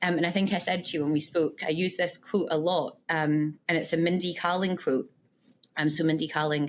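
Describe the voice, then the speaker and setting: A woman speaks with a Scottish accent. Her intonation is monotone and flat. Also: very clean recording, silent background. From Scotland, west coast (Irvine). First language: Punjabi. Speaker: tech leader, podcast guest. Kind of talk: interview.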